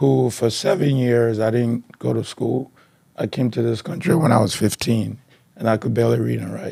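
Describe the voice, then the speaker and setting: A man with a Liberian accent, medium-pitched, at a moderate pace. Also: lively intonation. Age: 40s. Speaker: author and marketing researcher. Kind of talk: interview.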